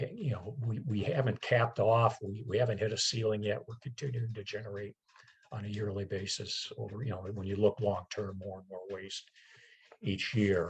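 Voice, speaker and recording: A man's fairly low, somewhat breathy voice at a moderate pace, with fairly even intonation and big swings in loudness. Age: 60s. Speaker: environmental committee chair, presenter. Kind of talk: presentation with slides. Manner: halting, many fillers and repetitions.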